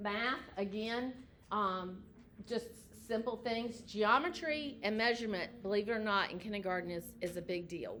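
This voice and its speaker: Moderate-paced speech from a woman at medium pitch, with ordinary pitch variation and noticeable background noise. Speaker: educator. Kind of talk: informational presentation.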